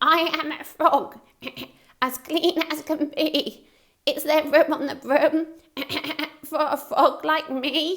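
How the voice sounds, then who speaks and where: This put-on character voice is croaky and high-pitched. It moves at a very slow pace with long, frequent pauses. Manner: polite.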